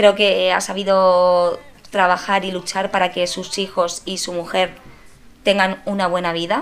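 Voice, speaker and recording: At a fairly slow pace, a woman talks at a medium pitch with monotone, flat intonation. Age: 30s. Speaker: teacher. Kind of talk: casual interview.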